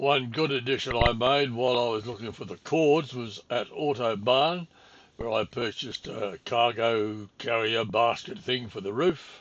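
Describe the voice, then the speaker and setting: Speaking with a strong Australian accent, a man keeps a medium pitch, ordinary pitch variation and a moderate pace. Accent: broad Australian. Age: 80s+. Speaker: travel vlogger. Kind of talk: travel vlog narration.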